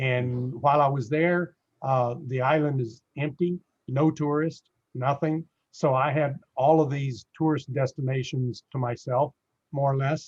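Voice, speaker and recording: A man talks at a fairly slow pace with fairly even intonation. His voice is somewhat breathy and fairly high in pitch. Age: 60s. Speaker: real estate investor. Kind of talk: casual interview. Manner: hesitant, many fillers.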